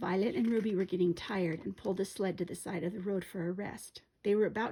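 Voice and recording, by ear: With intonation that stays fairly even, the text is read aloud in a natural voice.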